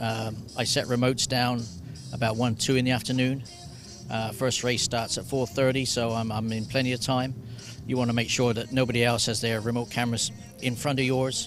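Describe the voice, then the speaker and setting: Music plays in the background as a man with a medium pitch talks fairly quickly in a flat, monotone way. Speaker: racing photographer and former jockey. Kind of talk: interview answer.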